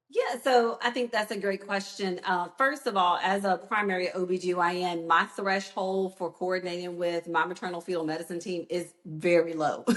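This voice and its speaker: Speech with hardly any pauses runs over noticeable background noise. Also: woman, medium pitch for a woman, ordinary pitch variation, moderate pace. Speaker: obstetrician. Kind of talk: interview. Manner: loud.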